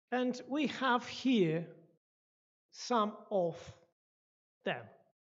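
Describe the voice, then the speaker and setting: A woman's pitch swings very widely, with audible room echo. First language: not English, not even second language. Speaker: guest speaker at church. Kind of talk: lecture. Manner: halting, with restarts.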